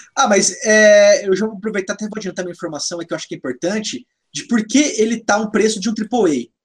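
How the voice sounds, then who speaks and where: Very fast delivery with ordinary pitch variation. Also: man, high pitch for a man. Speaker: gaming podcast host. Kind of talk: casual chat.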